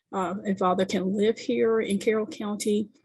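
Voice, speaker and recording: A soft-spoken, somewhat breathy woman with ordinary pitch variation. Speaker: community service provider. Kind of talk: community meeting presentation. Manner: halting, many fillers.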